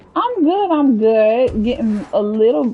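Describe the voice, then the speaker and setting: An animated woman's voice, fairly high in pitch with very wide pitch swings, over noticeable background noise. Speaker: video game streamer. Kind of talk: casual live gameplay commentary.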